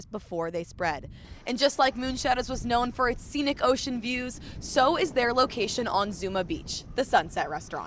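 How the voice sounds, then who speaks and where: A woman talks in a normal speaking voice at a fairly quick pace. Her intonation is lively. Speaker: news reporter. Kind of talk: news reel montage of short anchor-style reads.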